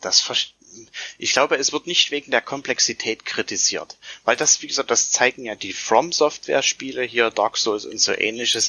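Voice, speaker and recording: A moderate pace with ordinary pitch variation. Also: man. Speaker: tabletop gamer, fellow podcaster. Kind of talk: casual chat.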